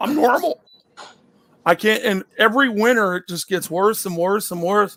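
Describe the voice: A loud man speaks at a moderate pace, pitched high for a man, with lively intonation. His fairly bright tone is gravelly and strained, with vocal fry.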